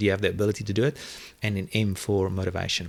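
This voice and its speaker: Speaking very fast in a South African accent, a man is heard in a very clean recording with a silent background. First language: Afrikaans. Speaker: online video marketing entrepreneur. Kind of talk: interview conversation. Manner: hesitant, many fillers and repetitions.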